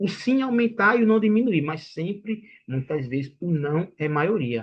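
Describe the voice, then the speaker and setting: This man's voice is high-pitched, with lively intonation. He talks at a fairly slow pace. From Brazilian Northeast. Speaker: sales trainer. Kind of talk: lecture. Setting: online livestream.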